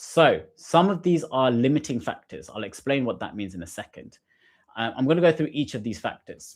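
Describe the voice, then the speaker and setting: On a very clean recording with a silent background, a man speaks with vocal fry and very wide pitch swings. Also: medium pitch for a man, big swings in loudness. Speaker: GCSE science tutor. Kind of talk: live-stream revision lesson. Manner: fast.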